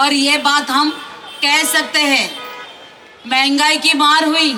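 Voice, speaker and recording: Over noticeable background noise and audible room echo, a woman with a Marathi accent uses a raised, projected voice at a high pitch with fairly even intonation. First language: Marathi (speaking Hindi). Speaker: election candidate. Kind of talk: political rally speech. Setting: stage with audience. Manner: loud, fiery.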